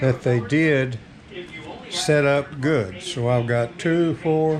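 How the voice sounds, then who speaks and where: Noticeable background noise sits behind a man speaking at a very slow pace. His pitch is fairly high, with ordinary variation and very even loudness. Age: 80s+. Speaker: farm homemaker. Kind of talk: casual cooking demonstration to camera.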